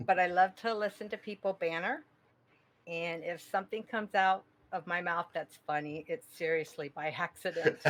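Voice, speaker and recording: Her pitch medium and its variation ordinary, a woman speaks at a moderate pace. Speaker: fantasy football league member, retiree. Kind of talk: casual chat. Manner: nervous, shaky.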